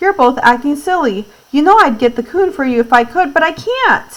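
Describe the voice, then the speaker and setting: A woman puts on a gruff character voice pitched high. Her pitch swings very widely from note to note. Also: moderate pace. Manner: scolding.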